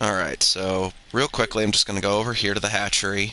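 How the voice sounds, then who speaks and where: Noticeable background noise sits behind the speech. The pace is moderate and the intonation monotone and flat. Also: man. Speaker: video game streamer. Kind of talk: gameplay commentary. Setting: live stream. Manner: soft-spoken at times.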